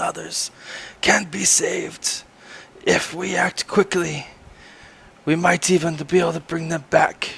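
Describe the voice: A raspy, put-on character voice from a man, high-pitched for a man, at a fairly slow pace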